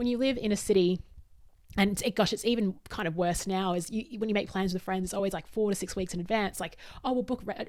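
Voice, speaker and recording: Talking at a very fast pace, a woman with an Australian accent keeps a medium pitch with ordinary variation. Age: 40s. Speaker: podcast host and workshop facilitator. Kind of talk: solo podcast monologue.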